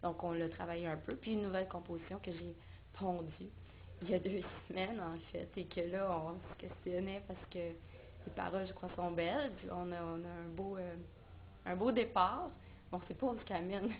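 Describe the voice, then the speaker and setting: A woman with a Quebec accent at a moderate pace, amid audible room echo. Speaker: singer-songwriter. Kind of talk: interview. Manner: halting.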